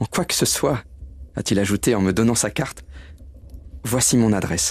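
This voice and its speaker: Speaking at a moderate pace, a man with a medium pitch has a warm tone and vocal fry. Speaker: actor reading character Bob Cratchit. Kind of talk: dramatized audio reading of a literary tale. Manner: warm, emotional, earnest.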